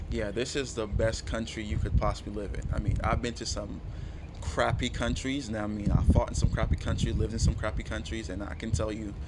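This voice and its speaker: A man talks fairly fast, with audible room echo and noticeable background noise around him. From Jamaica. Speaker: passer-by interviewee. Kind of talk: street interview.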